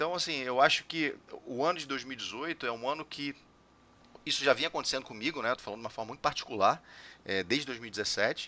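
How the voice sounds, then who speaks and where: A man with an unremarkable speaking voice talks at a fairly quick pace. His pitch is medium, with ordinary variation. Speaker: podcast host. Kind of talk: casual chat.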